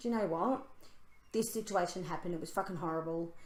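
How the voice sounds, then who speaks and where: Amid audible room echo, a woman talks at a fairly quick pace in a medium pitch, her tone animated and her pitch variation ordinary. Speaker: spiritual podcast co-host. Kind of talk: casual chat. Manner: loud.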